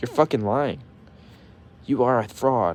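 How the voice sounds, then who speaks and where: Lively intonation marks this man's speech. His tone is dark and mellow. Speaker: youtuber. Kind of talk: rant. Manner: stutters when mad; animated.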